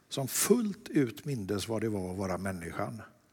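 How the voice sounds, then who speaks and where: A man's voice sounds somewhat breathy. His pitch swings very widely. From Sweden, Lerum near Gothenburg. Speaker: artist. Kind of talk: dialogue sermon in church.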